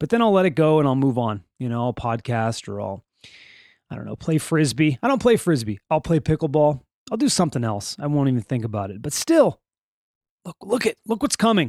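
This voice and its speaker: Recorded very cleanly against a silent background, the voice moves at a fairly quick pace with very wide pitch swings and a dry, close sound with no echo. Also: man, fairly high pitch for a man. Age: 40s. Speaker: podcast host. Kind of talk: casual solo podcast monologue. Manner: laid-back, conversational with frequent stammers.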